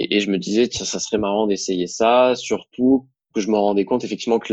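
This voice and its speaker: Talking at a fairly quick pace with fairly even intonation, a man has an unremarkable speaking voice pitched fairly low, dry and close with no echo. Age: 20s. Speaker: young entrepreneur, digital marketing. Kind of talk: casual interview, testimony.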